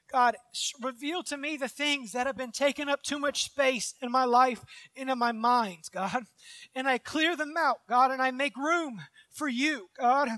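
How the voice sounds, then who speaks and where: A raised, projected voice with a bright, sharp tone and ordinary pitch variation at a fairly slow pace, dry and close with no echo, on a very clean recording with a silent background. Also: man, extremely high pitch for a man. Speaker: minister. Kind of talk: sermon with fervent prayer. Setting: church with live audience. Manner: fervent, earnest, pleading; repetitive, halting phrasing.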